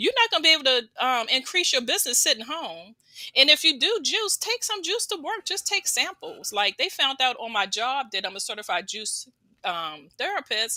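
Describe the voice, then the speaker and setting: The voice is raised and projected, with very wide pitch swings at a moderate pace. The recording is very clean with a silent background. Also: woman, high pitch for a woman. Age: 60s. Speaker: certified juice therapist and juice business owner. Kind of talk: interview testimony. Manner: casual, with many fillers.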